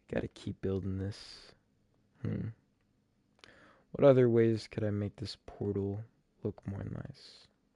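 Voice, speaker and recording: A man at a very slow pace, fairly low in pitch, with a dark, mellow tone, big swings in loudness, long, frequent pauses, and a dry, close sound with no echo. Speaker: gaming streamer. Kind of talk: live gameplay commentary. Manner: casual, thinking aloud.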